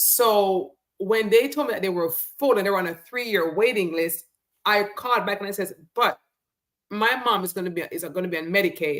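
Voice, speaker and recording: A normal speaking voice from a woman, medium in pitch, moderate in pace, with ordinary pitch variation. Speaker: talk show host. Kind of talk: casual talk.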